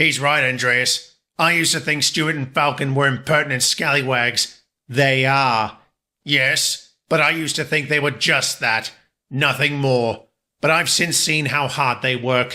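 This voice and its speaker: A man performs a put-on character voice at a fairly high pitch. The recording is very clean, with a silent background. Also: moderate pace. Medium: audio drama.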